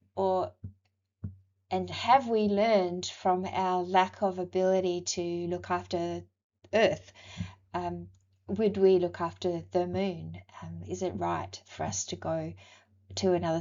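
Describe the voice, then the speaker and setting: A woman with an Australian accent speaks at a fairly slow pace, leaving long, frequent pauses. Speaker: university lecturer. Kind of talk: recorded lecture.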